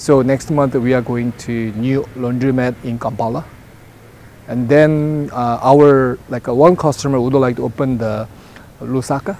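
A man speaks at a medium pitch with a slightly mellow tone. His pace is moderate, with ordinary pitch variation.

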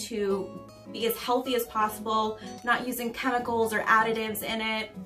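A woman speaks while clear music plays in the background. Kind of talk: product show-and-tell explanation. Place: office.

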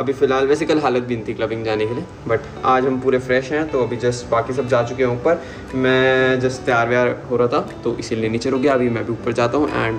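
Clear music plays in the background as a man talks at a fairly quick pace. His intonation is fairly even. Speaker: vlogger. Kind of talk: casual vlog chat. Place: bathroom. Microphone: phone near.

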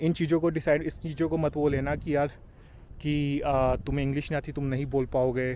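A man speaks with a dark, mellow tone at a fairly high pitch. His intonation is monotone and flat, and his pace is moderate. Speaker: YouTuber, Indian immigrant in Canada. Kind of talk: casual vlog monologue.

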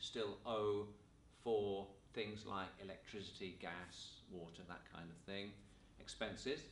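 A man at a fairly slow pace, with audible room echo and light background noise. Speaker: teacher. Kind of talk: lecture. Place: classroom.

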